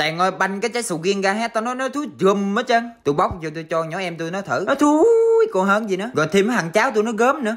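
A man's high voice, fairly quick and lively, with hardly any pauses, over noticeable background noise. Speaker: rural cooking vlogger. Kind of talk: casual vlog narration.

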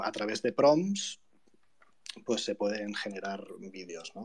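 A man talks with ordinary pitch variation while noticeable background noise carries on around him. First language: Spanish. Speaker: artist. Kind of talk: presentation of artwork in Spanish. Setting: live online audio room.

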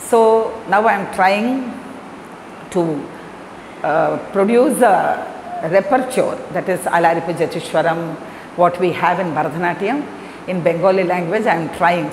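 Amid light background noise and audible room echo, a woman talks at a fairly slow pace. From Chennai, Tamil Nadu, India; Tamil Nadu, India. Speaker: Bharatanatyam dancer and teacher; teacher. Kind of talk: interview talk. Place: empty room.

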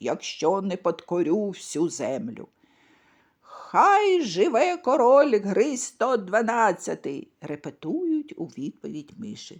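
Words come out very slowly. The pitch leaps up and down over a very wide range. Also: woman, fairly high pitch for a woman. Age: old. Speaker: storyteller. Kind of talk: bedtime story reading for children.

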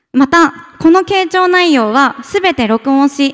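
Against a quiet background, a woman speaks at a fairly slow pace in a high voice. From Tokyo, Japan. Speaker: startup founder. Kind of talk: pitch presentation. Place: hall. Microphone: podium.

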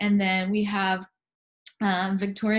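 Somewhat breathy woman's voice with fairly even intonation over a quiet background. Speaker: panel moderator. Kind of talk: panel moderation. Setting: video call. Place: home room. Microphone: video call.

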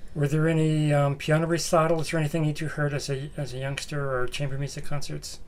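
A man with a fairly high voice talks at a very fast pace with hardly any pauses. His intonation is flat and monotone. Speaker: music librarian interviewer. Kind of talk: oral history interview. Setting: library. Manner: halting.

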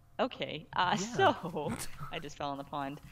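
A woman speaks at a fairly slow pace. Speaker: gaming co-host. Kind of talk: casual gameplay commentary.

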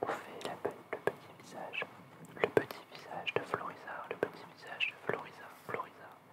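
The speaker whispers at a moderate pace. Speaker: ASMR content creator and artist. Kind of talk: ASMR relaxation video, drawing while talking softly to the viewers. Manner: soft-spoken, calm, relaxed pace.

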